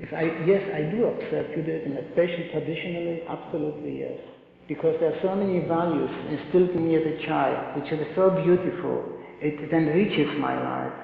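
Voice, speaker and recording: There is audible room echo and noticeable background noise. A man talks over it at a fairly quick pace. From Poland. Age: 70s. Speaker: Holocaust survivor speaker. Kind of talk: testimony with Q&A. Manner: halting, repeats words.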